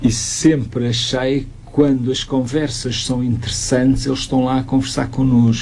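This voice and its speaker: There is noticeable background noise and audible room echo as a man speaks at a medium pitch. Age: 60s. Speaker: youth association expert. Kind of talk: radio interview.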